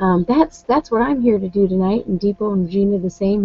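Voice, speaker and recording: A woman's medium-pitched voice with ordinary pitch variation, music in the background. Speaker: online business coach. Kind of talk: live webinar talk. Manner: hesitant, many fillers.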